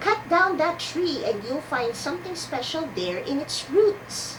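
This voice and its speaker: A squeaky, put-on character voice speaks at a fairly slow pace. Clear background noise can be heard. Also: woman. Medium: read story.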